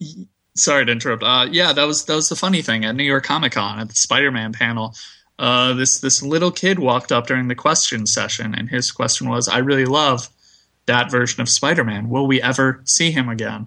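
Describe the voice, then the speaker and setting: The voice has a bright, sharp tone and a fairly quick pace. The recording is very clean with a silent background. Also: man, medium pitch for a man, ordinary pitch variation. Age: 20s. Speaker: comic book website writer. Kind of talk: casual chat.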